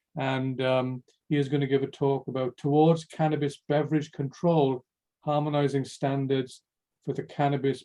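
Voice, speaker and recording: At a moderate pace, a man with a Welsh accent speaks in a fairly high voice with monotone, flat intonation. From Wales. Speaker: workshop moderator. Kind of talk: event moderation.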